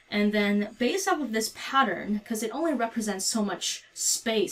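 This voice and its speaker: Lively intonation carries the speech along at a moderate pace. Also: woman. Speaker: physics teacher. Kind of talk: tutorial. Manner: soft-spoken.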